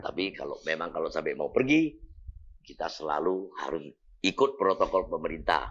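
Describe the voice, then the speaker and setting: At a medium pace, a man is talking. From Indonesia, North Sumatra (Medan). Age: 60s. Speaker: YouTuber. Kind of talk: casual Q&A vlog. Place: home room. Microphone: lapel.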